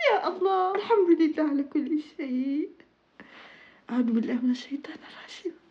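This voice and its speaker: Her pitch sits extremely high and swings very widely. This woman talks at a moderate pace. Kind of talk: casual talk to camera.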